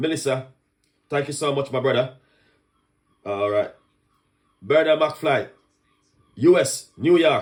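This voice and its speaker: A man with a Jamaican accent speaks in an animated tone with ordinary pitch variation. He leaves long, frequent pauses. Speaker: chef and online cooking host. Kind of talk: live stream chat. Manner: fast.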